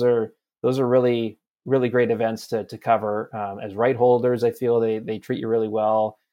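In a Western Canadian accent, a man speaks at a medium pitch with monotone, flat intonation. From Campbell River, British Columbia, Canada. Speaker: sports reporter. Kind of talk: interview. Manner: halting, many repetitions.

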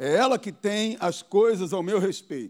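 Recorded very cleanly against a silent background, a man speaks at a moderate pace with ordinary pitch variation. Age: 40s. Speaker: pastor. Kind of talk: sermon. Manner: animated.

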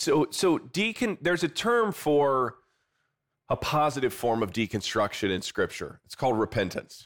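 A man with a fairly high voice and vocal fry talks at a moderate pace, his pitch swinging very widely, on a very clean recording with a silent background. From US Midwest, South Bend, Indiana. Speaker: pastor and author. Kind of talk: interview.

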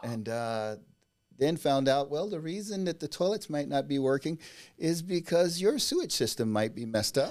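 With an American accent and an unremarkable speaking voice, a man talks at a moderate pace with fairly high pitch and lively intonation in a very clean recording with a silent background. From US South, Mississippi (Natchez area). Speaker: new home sales rep. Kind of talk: casual chat.

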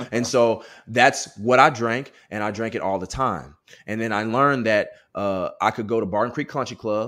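Bright and sharp, a man's medium-pitched voice comes across in an animated tone at a moderate pace. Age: 30s. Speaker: author. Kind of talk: interview. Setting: video call.

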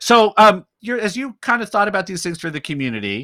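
A man with an American accent at a fairly quick pace, his tone bright and sharp and his pitch swinging very widely, in a very clean recording with a silent background and a dry, close sound with no echo. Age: 50s. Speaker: podcast host and pastor. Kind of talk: casual interview chat.

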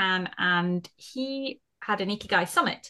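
A woman with a British accent speaks at medium pitch in a bright, sharp tone, with ordinary pitch variation over a quiet background. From UK. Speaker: podcast host. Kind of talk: casual interview chat.

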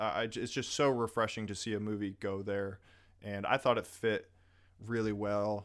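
In a very clean recording with a silent background, a man speaks at a moderate pace in an unremarkable speaking voice, his fairly low pitch held to fairly even intonation. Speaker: podcast host. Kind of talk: casual chat. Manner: casual, overlapping banter.

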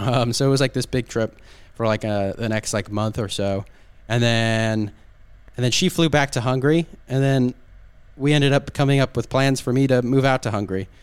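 A man with a Southern California accent talks at a fairly quick pace. His pitch is medium, with ordinary variation. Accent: Southern Californian American English. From US, Southern California (Orange County). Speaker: podcast guest, expat, podcaster. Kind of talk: casual interview chat. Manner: hesitant, many fillers and restarts.

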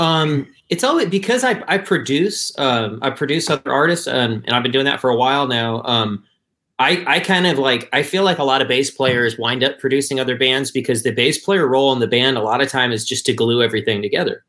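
Medium in pitch with ordinary pitch variation, a man speaks at a fairly quick pace with an American accent. His tone is bright and sharp, and his loudness stays very even. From northern Michigan, US. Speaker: bass player in a band. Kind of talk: casual interview chat. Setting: video call.

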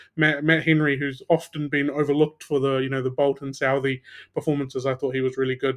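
The man's voice sits at a fairly high pitch with monotone, flat intonation. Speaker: cricket podcast co-host. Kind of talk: casual chat.

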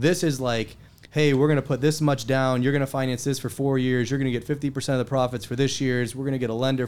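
A man with an American accent speaks in an unremarkable speaking voice at a fairly quick pace, medium in pitch with fairly even intonation. The recording is very clean, with a silent background. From western Pennsylvania, near Pittsburgh. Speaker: investor and wealth advisor. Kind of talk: casual interview.

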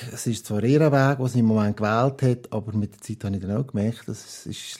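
A man speaks in a dark, mellow tone at medium pitch with fairly even intonation and a moderate pace. The recording is very clean, with a silent background. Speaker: parent. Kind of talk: casual interview. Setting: at home at the living room table.

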